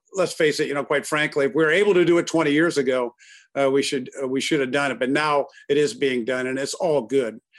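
A man at a fairly high pitch talking at a very fast pace, in a very clean recording with a silent background. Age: 60s. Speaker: car dealer executive. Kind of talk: interview.

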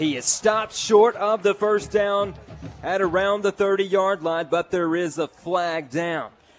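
Music plays behind a man with a high pitch who talks at a fairly slow pace with fairly even intonation. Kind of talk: live play-by-play football commentary. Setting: stadium broadcast booth.

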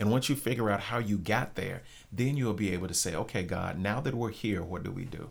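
A man's fairly low voice at a fairly quick pace, ordinary pitch variation, audible room echo. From Arkansas, Little Rock area. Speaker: church planter. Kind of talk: interview. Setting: studio.

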